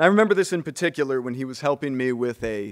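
A man with an American accent speaks at a medium pitch with lively intonation. The background is quiet. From Bloomington, Indiana. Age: 20s. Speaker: chemist, honoree's son. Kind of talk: toast speech. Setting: stage with audience. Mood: warm, lightly humorous. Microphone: podium.

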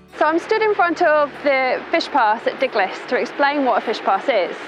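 A woman at a moderate pace, the sound dry with no echo, amid noticeable background noise. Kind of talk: explainer to camera. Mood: friendly, informative. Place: waterside.

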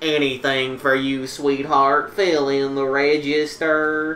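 A robotic, put-on character voice, monotone and flat, low-to-middle in pitch, at a fairly slow pace over clear background noise. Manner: creepy, unsettling.

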